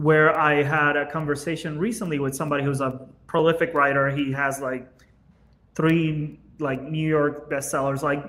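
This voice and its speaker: A man with a Spanish accent talks at a moderate pace and a fairly high pitch. His intonation is monotone and flat, with audible room echo. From Venezuela. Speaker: business owner, podcast guest. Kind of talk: casual chat.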